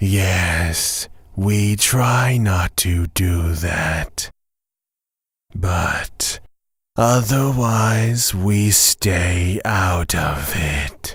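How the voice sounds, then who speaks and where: A man puts on a character voice at a fairly low pitch. He speaks at a very slow pace. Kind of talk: audio drama.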